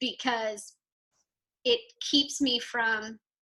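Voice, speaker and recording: A woman with an American accent speaks loudly, her pitch varying in an ordinary way. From Texas. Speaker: entrepreneur, PR company owner. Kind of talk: podcast interview.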